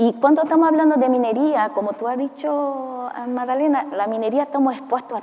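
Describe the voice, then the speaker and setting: A high-pitched woman's voice with ordinary pitch variation and noticeable background noise. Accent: non-native. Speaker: mining company safety executive. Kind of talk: panel discussion. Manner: halting.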